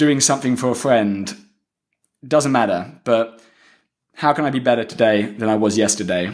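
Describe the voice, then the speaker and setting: This man, at a medium pitch, talks fairly quickly with ordinary pitch variation. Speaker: podcast host being interviewed. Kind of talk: interview answers, advice. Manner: fast.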